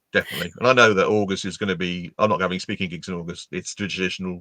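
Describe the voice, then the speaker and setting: A man's very deep, low voice with a bright, sharp tone at a very fast pace, dry and close with no echo, over a quiet background. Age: 60s. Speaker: LinkedIn trainer and speaker. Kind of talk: interview.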